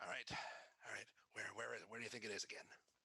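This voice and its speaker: In a put-on character voice, a man whispers raspily at a very fast pace, his loudness very even throughout. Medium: actual play. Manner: flustered, stammering.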